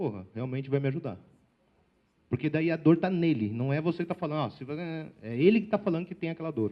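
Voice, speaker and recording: Fairly high in pitch, a man speaks with lively intonation. His pace is fairly quick. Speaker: sales trainer and speaker. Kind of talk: lecture. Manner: fast.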